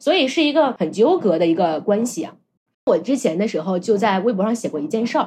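Fairly high in pitch, a woman speaks at a fairly quick pace with very wide pitch swings. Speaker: podcast host. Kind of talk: casual chat.

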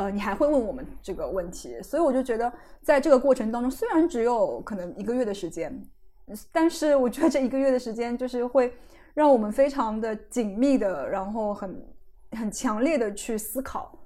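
The tone is dark and mellow, with lively intonation. Speech moves at a moderate pace. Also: woman, high pitch for a woman. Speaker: guest podcast host and writer. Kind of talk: casual interview chat.

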